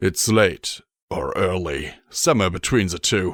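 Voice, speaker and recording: A man uses a put-on character voice that is raspy and very deep and low in pitch. He speaks at a moderate pace. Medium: read story.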